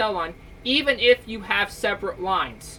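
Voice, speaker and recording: Loud and with a bright, sharp tone, a woman speaks at a medium pitch. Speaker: tech YouTuber. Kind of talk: tutorial. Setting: basement at home. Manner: casual.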